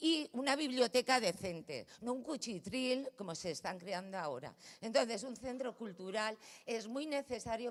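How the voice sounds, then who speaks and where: Moderate pace and lively intonation from a woman. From Valencia, Spain. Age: 60s. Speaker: neighbour speaking at a city council meeting. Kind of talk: public address at a council plenary. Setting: council chamber. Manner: animated, confrontational.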